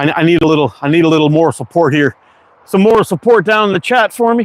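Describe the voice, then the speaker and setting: Very fast and with an American accent, a man speaks at a fairly high pitch with lively intonation. His loudness stays very even, and the sound is dry and close with no echo. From Quebec, Canada (anglophone). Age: 50s. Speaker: slingshot maker and livestreamer. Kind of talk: casual livestream chat. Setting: outdoors.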